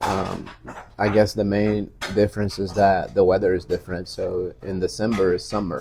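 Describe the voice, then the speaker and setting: Speaking with a Portuguese accent, a man uses a fairly low, dark, mellow, somewhat breathy voice in a monotone, flat delivery at a moderate pace. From Brazil. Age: 40s. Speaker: high school teacher. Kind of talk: interview.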